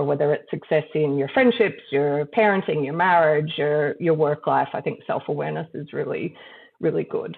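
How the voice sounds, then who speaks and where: A woman with an American accent talks at a very deep, low pitch. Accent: shifts easily between Australian and American. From mixed: Brazil, Trinidad, US, Netherlands, Australia. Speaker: company director and lawyer. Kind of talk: interview conversation.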